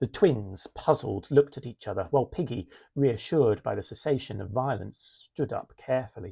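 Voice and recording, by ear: Someone reads aloud here in a natural voice.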